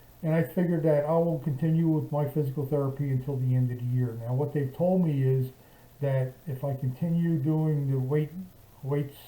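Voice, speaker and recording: The man's voice is fairly high in pitch, with a dark, mellow tone and a somewhat breathy quality. His intonation stays monotone and flat. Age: 70s. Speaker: vlogger recovering from shoulder surgery. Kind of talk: casual video diary. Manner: halting, many fillers and restarts.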